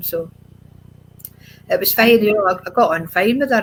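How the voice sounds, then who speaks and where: A woman speaks in a Scottish accent at a moderate pace. Her pitch varies in an ordinary way. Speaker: adoptee sharing her life story. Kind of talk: interview testimony.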